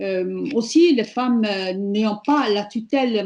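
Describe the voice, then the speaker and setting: Against a quiet background, the voice moves through ordinary pitch variation. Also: woman. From Morocco. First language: Amazigh (Berber) (speaking French). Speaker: feminist activist. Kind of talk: prepared speech at online panel. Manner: hesitant, many fillers.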